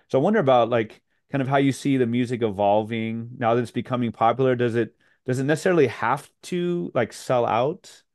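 This man has an unremarkable speaking voice at a medium pitch. He goes at a fairly quick pace with ordinary pitch variation. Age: 40s. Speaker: podcast host and high school teacher. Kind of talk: interview conversation.

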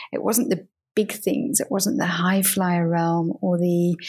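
A somewhat breathy woman with a British accent at a medium pitch, very slow in pace, with ordinary pitch variation. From UK. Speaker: communications professional and coach. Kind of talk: interview.

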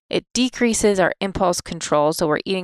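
This woman has a normal speaking voice at medium pitch and a moderate pace. Her sound is dry and close, with no echo. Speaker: physician podcast host. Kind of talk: educational podcast.

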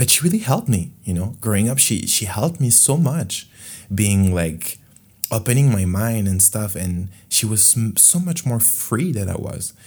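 Somewhat breathy and fairly low in pitch, a man with a French accent speaks with lively intonation. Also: moderate pace. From France. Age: 20s. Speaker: podcast host. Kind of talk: solo monologue podcast, casual and confessional. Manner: rambling, casual, self-deprecating.

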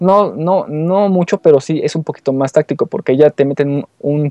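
A man's dark, mellow, fairly high-pitched voice at a moderate pace, with ordinary pitch variation and a dry, close sound free of echo. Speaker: game reviewer. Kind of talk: game review. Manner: halting, many fillers. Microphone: too far from the mic.

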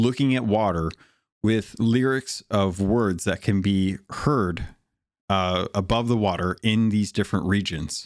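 This man talks at a very slow pace, with fairly low pitch and ordinary pitch variation. The recording is very clean, with a silent background. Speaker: podcast host. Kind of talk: casual chat.

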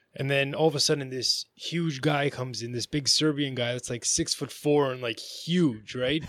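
An unremarkable speaking voice from a man with a Canadian accent, fairly high in pitch, with fairly even intonation, a moderate pace and hardly any pauses. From Ontario, Canada. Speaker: boxer. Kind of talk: casual interview chat.

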